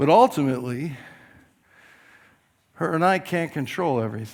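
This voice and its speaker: A man speaks at a moderate pace in an unremarkable speaking voice, his fairly high pitch rising and falling with lively intonation. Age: 60s. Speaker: pastor. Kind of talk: sermon.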